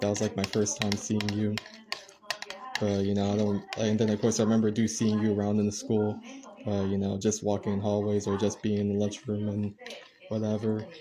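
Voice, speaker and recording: Over noticeable background noise, a man speaks at a fairly quick pace in a fairly low pitch, his intonation monotone and flat and his loudness very even. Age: 20s. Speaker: content creator; livestreamer. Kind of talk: casual chat. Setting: livestream. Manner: hesitant, many filler words. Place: home room. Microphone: phone near.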